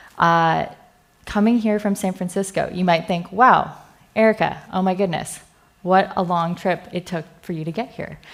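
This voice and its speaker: In a Californian accent, a woman speaks at a moderate pace in a medium pitch with fairly even intonation, on a very clean recording with a silent background. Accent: American, California. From US West Coast, California Bay Area. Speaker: software engineer, conference speaker. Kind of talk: conference talk. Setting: stage with audience. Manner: casual, filler-heavy.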